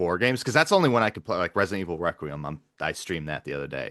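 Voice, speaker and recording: A man speaks loudly with a bright, sharp tone and lively intonation, in a dry, close sound with no echo against a quiet background. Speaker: podcast host and gamer. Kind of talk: casual chat.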